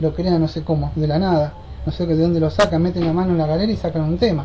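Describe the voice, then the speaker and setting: A woman talking at a very fast pace, with audible room echo and noticeable background noise. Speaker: bible study teacher. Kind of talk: bible study lecture.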